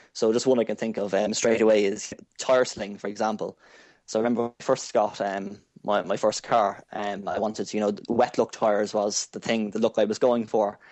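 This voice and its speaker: In an Irish accent, the speaker talks at a fairly quick pace with a monotone, flat intonation. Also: man, fairly low pitch for a man. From Ireland. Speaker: car detailing enthusiast. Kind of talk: casual interview chat.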